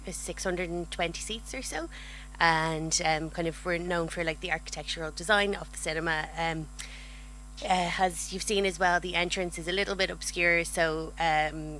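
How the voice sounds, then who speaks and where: A woman speaks with an Irish accent at a moderate pace. Audible room echo surrounds her voice. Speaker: cinema marketing manager. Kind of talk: conference presentation.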